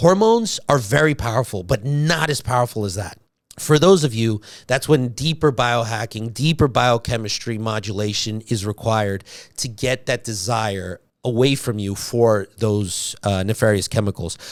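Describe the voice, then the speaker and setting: A man's medium-pitched, animated voice with ordinary pitch variation, on a very clean recording with a silent background. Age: 40s. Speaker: doctor and health podcast host. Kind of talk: health lecture monologue. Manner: fast.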